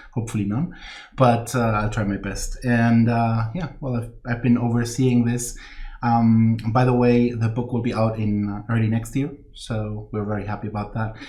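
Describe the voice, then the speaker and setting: A man speaks with a non-native accent in a flat monotone. The room echo is audible. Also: medium pitch for a man, moderate pace. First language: not English. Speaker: game line manager. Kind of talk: live stream introduction. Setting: office, live stream.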